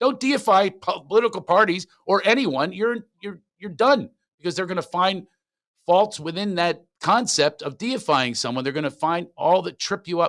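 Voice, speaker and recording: With a Philadelphia accent, a man talks in an animated tone at a fairly quick pace. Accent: Philly. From Philadelphia, US. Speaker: comedian. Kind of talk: casual interview. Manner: fast.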